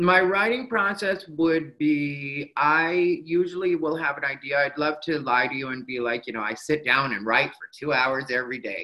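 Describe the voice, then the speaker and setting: This voice has an American accent and an unremarkable speaking voice, moving at a moderate pace with lively intonation and hardly any pauses. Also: man, fairly high pitch for a man. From Arizona, Mexican American. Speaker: stand-up comedian. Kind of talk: casual interview chat.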